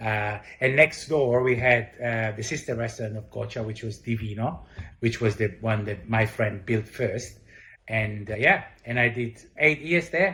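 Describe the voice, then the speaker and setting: A voice with a bright, sharp tone and an Italian accent speaks at a fairly slow pace on a very clean recording with a silent background. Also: man, medium pitch for a man, ordinary pitch variation. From Italy. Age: 40s. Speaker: chef and restaurant owner. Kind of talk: interview. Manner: halting, many fillers.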